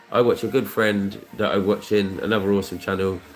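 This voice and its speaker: Speaking with a British accent, a man uses a fairly low pitch. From Luton, England. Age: 30s. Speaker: scratchcard streamer. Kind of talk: casual chat. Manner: rambling repetitive.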